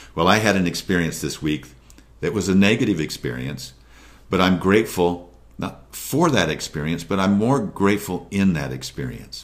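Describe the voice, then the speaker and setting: A man talks with vocal fry. His pace is moderate. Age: 60s. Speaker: motivational video host. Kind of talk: motivational talk to camera.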